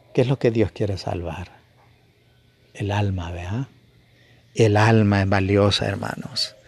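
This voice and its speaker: A man at a very slow pace, somewhat breathy and fairly low in pitch, with fairly even intonation and long, frequent pauses. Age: 50s. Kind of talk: sermon. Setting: home broadcast. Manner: halting.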